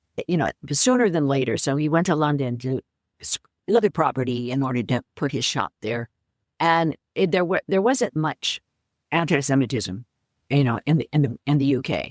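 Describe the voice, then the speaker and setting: A woman with an American accent, very deep and low in pitch, at a moderate pace, in a dry, close sound with no echo. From US West Coast, San Francisco. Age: 80s+. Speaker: author. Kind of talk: interview. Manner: halting.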